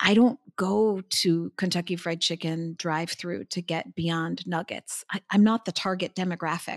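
An unremarkable speaking voice on a very clean recording with a silent background. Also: woman, fairly low pitch for a woman, fairly even intonation, moderate pace, hardly any pauses. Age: 50s. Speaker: CEO of a plant-based investment firm. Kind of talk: interview.

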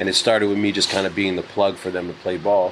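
A man with a New York accent, fairly low pitch, and a fairly quick pace, over noticeable background noise. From New York City. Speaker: music executive, podcast guest. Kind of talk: casual banter. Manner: animated.

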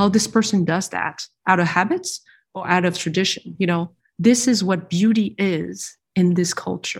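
In a very clean recording with a silent background, a woman speaks at a moderate pace and medium pitch, with ordinary pitch variation, a somewhat breathy voice and big swings in loudness. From France. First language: French. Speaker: industrial designer. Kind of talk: interview.

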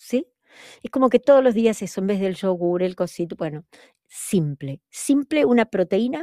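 A dark, mellow tone in a dry, close sound with no echo, on a very clean recording with a silent background. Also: woman. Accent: Argentine. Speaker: podcast co-host. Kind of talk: casual chat.

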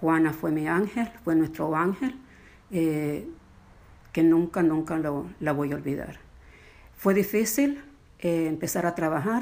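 Lively intonation runs through a woman's fairly low-pitched voice. She speaks at a very slow pace with long, frequent pauses. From Nicaragua. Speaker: retired entertainment company employee. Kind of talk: interview.

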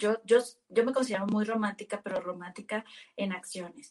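Fairly high in pitch, a woman has an ordinary speaking voice with fairly even intonation. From Mexico, Sinaloa. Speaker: sales manager. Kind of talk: interview.

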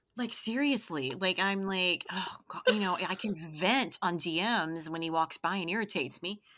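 Her tone bright, sharp and animated, a woman speaks at a moderate pace with hardly any pauses. Her medium pitch varies in an ordinary way. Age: 50s. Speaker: hamster social media account owner. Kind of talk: casual chat.

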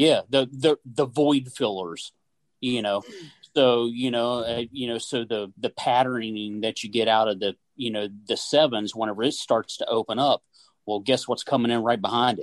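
A man with an Appalachian accent, medium-pitched, his intonation fairly even, in a dry, close recording with no echo. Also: moderate pace. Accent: Appalachian American. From West Virginia. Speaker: gunsmith and hunter. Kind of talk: casual chat. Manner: halting, many fillers.

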